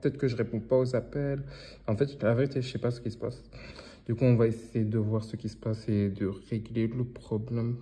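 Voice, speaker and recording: A man's medium-pitched, somewhat breathy voice, dark and mellow in tone, flat and monotone, at a fairly quick pace. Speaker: online business vlogger. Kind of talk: vlog narration. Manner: casual, informal.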